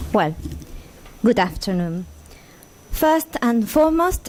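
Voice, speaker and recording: A woman with a Spanish accent speaks at a fairly high pitch. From Argentina. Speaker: intellectual property lawyer. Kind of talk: conference talk. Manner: halting.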